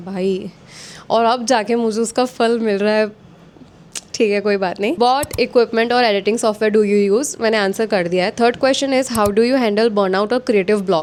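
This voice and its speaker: This woman has an ordinary speaking voice, pitched fairly high. Her intonation stays fairly even at a moderate pace. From India, Gujarat (Vadodara). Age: 20s. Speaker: lifestyle vlogger. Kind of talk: casual Q&A chat. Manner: chatty, Hindi-English code-switching.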